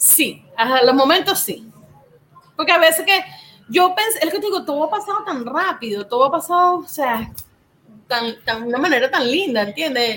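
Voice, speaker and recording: A woman projects a raised, high voice with a bright, sharp tone. Her intonation is lively and her pace fairly quick. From Venezuela, Puerto Cabello, Carabobo. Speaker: small food business owner, cook. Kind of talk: casual interview.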